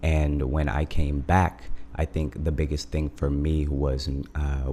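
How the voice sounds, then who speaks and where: A man speaks in a very deep, low pitch with monotone, flat intonation. His pace is very slow, and background noise is noticeable. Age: 20s. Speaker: music label founder. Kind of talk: casual chat. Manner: hesitant with frequent fillers.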